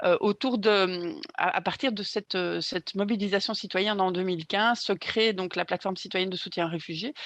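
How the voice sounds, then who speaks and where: A woman speaks at a fairly quick pace with a medium pitch and ordinary pitch variation, the sound dry and close with no echo. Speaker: activist. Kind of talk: conference talk. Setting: conference panel with interpreters. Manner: hesitant, many fillers.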